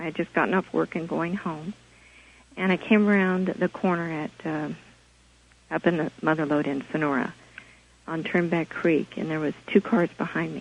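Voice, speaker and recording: This soft-spoken voice has an American accent, vocal fry, a moderate pace, fairly even intonation and long, frequent pauses. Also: woman, fairly low pitch for a woman. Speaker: caller. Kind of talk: phone-in testimony. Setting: phone call.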